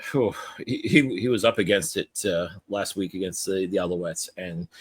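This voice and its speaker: At a moderate pace, a man sounds enthusiastic, his voice dry and close with no echo. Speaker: podcast host. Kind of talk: podcast discussion of football. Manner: casual, enthusiastic, conversational.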